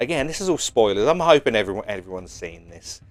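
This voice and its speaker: With lively intonation, a man speaks in a British accent. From UK. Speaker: YouTuber, pop culture commentator. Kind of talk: casual vlog commentary. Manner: animated, enthusiastic; halting, many fillers and repeats.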